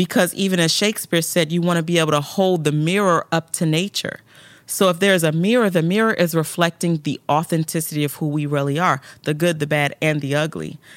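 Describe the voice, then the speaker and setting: On a very clean recording with a silent background, the talking goes at a fairly quick clip. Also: woman, fairly low pitch for a woman. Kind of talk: casual interview chat. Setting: video podcast studio. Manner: animated, emotional.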